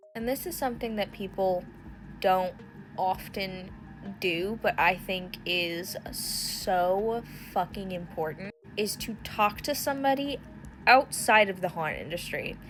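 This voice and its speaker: A woman talks in an animated tone at a fairly slow pace, with ordinary pitch variation. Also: medium pitch for a woman. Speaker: haunt industry content creator. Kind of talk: casual vlog monologue. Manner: loud.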